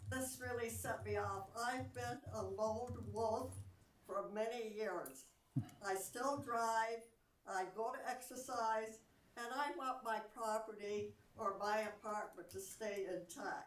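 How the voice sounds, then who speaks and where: A woman speaks at a fairly high pitch and a very slow pace. Noticeable background noise runs through the clip. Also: ordinary pitch variation. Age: 90s. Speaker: local resident, senior. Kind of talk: public comment. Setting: council chamber, in person.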